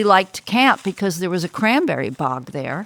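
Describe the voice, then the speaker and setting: At a moderate pace, a woman speaks in a normal speaking voice at medium pitch with lively intonation, the sound dry and close with no echo. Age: 60s. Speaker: interviewee, local family historian. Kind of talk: interview.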